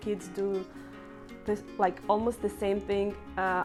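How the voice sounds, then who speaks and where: Over music in the background, someone with a Russian accent speaks at a fairly slow pace. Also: woman. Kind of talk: casual talk to camera. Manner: talkative.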